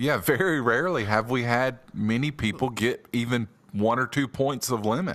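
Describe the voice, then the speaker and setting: A man talks in an ordinary speaking voice at medium pitch and a moderate pace. His pitch variation is ordinary and his loudness very even. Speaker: podcast co-host. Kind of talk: casual chat.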